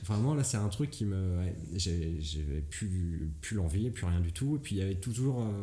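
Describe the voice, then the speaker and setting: A man's very deep, low voice, somewhat breathy and dark and mellow in tone, with lively intonation at a fairly slow pace amid audible room echo. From Brittany, France. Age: 20s. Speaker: comedian. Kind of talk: casual chat. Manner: hesitant, many fillers.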